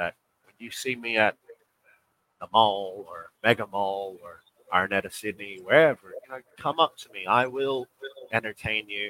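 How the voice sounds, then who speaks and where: A man with a bright, sharp tone speaks at a medium pitch and moderate pace, using ordinary pitch variation. The sound is dry and close with no echo, with long, frequent pauses and big swings in loudness. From Australia. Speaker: professional basketball player. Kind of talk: interview.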